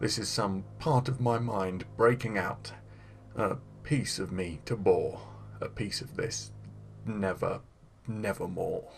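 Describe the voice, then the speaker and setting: A man uses a put-on character voice, fairly low in pitch and at a fairly slow pace. He leaves long, frequent pauses, and clear background noise runs under him. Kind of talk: dramatic poetry reading.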